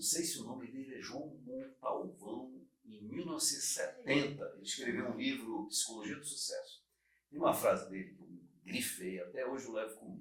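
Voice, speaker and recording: With big swings in loudness, a man talks at a moderate pace. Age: 60s. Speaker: podcast host. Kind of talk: casual chat.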